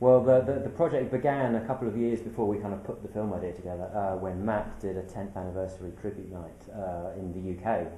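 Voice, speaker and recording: A man with a British accent races along at a very fast pace with hardly any pauses, his somewhat breathy voice dark and mellow in tone amid audible room echo. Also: fairly low pitch for a man, ordinary pitch variation. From UK. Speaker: documentary filmmaker. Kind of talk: interview.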